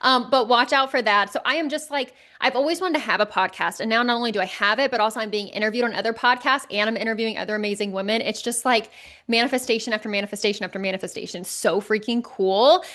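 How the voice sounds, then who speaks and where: Against a quiet background, a woman speaks loud and very fast in an animated, energetic tone, her fairly high pitch showing ordinary variation. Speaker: podcast host and life coach. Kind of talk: casual solo podcast monologue.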